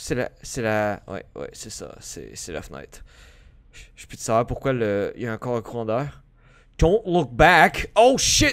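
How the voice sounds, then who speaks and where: A man talks at a very slow pace, his loudness swinging widely. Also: quiet background. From Quebec. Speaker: gaming youtuber. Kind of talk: let's play commentary. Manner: animated. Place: home room. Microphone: headset.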